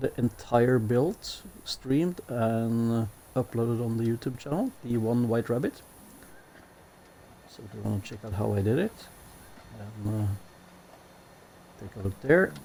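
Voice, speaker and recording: At a fairly slow pace, the voice has a dark, mellow tone, ordinary pitch variation, big swings in loudness and long, frequent pauses. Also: man. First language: Norwegian. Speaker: gaming streamer. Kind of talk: gameplay commentary. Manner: hesitant, many fillers.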